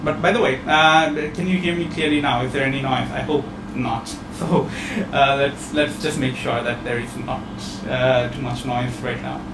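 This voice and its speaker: A man with a fairly high-pitched voice is heard in this clip. There is noticeable background noise and audible room echo. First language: not English. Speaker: online training program presenter. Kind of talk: webinar presentation. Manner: hesitant, many fillers and repetitions.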